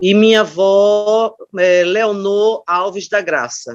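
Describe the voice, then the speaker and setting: Ordinary pitch variation marks this voice. The speaker is a woman. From Brazil, Aracaju (Sergipe). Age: 60s. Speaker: retired teacher and education scholar. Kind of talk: oral history interview testimony. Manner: hesitant, with frequent fillers.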